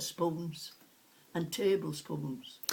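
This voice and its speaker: With a Sheffield accent, a woman speaks very slowly in a somewhat breathy, fairly low-pitched voice. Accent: broad Sheffield Yorkshire. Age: 80s+. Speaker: retired cutlery polisher. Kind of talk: oral history interview. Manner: halting.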